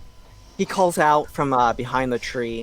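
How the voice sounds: Reading in a natural voice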